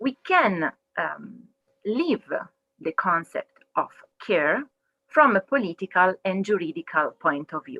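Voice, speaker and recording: A woman with an Italian accent speaks at a very slow pace, leaving long, frequent pauses. Her medium pitch makes very wide swings, and her loudness swings widely too. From Italy, Milan. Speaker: legal researcher. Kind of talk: webinar talk.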